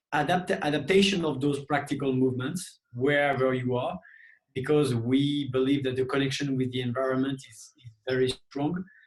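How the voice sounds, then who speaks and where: In a French accent, a man speaks at a moderate pace with a fairly high pitch and fairly even intonation. His somewhat breathy voice shows big swings in loudness. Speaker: movement coach. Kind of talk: interview.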